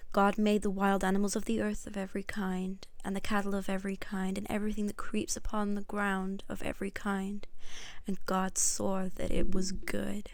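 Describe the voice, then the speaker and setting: Her intonation is a flat monotone. The woman speaks at a medium pitch and a moderate pace. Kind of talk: Bible reading.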